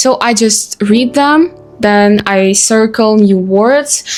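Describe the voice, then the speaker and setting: A woman speaks at a very slow pace in a fairly high voice. Noticeable background noise runs behind her. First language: Russian. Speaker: vlogger. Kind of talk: casual talk to camera. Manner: halting, many fillers.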